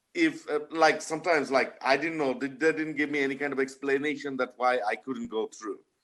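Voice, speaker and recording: Spoken with a non-native accent, the speech moves at a fairly quick pace with hardly any pauses. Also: man, fairly high pitch for a man, ordinary pitch variation. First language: not English. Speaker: union member testifying at a hearing. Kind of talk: testimony. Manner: halting.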